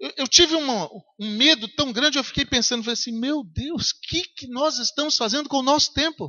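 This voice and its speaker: This man's pitch is extremely high, with ordinary variation. He talks at a fairly quick pace. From Brazil, Minas Gerais (Governador Valadares). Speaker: pastor. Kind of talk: sermon.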